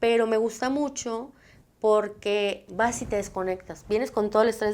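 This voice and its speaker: Here is an unremarkable speaking voice from a woman. She is fairly high in pitch and speaks at a fairly slow pace. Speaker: psychologist, TV show host. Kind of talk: talk show answering viewer questions.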